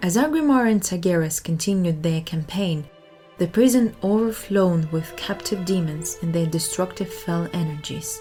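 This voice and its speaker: Music sits in the background as a woman speaks at a moderate pace. Her intonation is lively. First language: not English. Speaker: audiobook narrator. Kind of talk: reading aloud.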